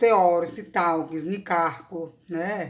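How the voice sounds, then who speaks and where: Very clean recording of a woman with a fairly low voice, the background silent. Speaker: university professor of Greek language and literature. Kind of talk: academic lecture talk to camera.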